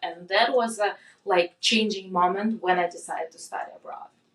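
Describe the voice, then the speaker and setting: Fairly quick speech from a woman in a Russian accent. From Russia, Moscow. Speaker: product manager. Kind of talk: casual chat. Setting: in-person recording.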